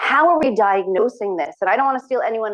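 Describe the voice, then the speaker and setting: Very fast-paced speech from a woman. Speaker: physician researcher. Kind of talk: lecture.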